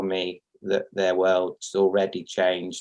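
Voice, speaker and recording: A man speaks at a very slow pace. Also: quiet background. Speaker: program graduate and practitioner. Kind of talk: testimonial on video call.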